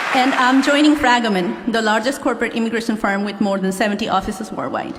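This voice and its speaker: Amid noticeable background noise and audible room echo, a woman with a Nepali accent talks at a very fast pace with fairly high pitch and ordinary pitch variation. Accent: Nepali accent, self-described. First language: Nepali (English is second language). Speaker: law graduate. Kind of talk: commencement speech. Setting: stage with audience.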